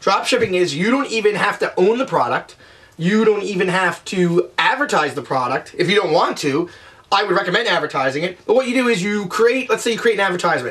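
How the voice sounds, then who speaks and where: Amid noticeable background noise, a man with a high voice talks fairly quickly in an energetic tone with lively intonation. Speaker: online business vlogger. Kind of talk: tutorial. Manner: fast; casual, energetic.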